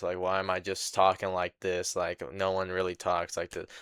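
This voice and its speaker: Over a quiet background, a man puts on a robotic character voice with a very deep, low pitch, a moderate pace, and monotone, flat intonation. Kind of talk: exaggerated, stiff. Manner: unnatural, stilted dub voice.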